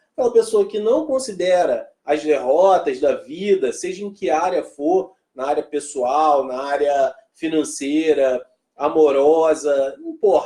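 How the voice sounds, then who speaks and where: A man with a fairly high pitch and a dark, mellow tone. He speaks at a fairly slow pace with lively intonation. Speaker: motivational speaker. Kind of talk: live stream talk. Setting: live stream. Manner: animated.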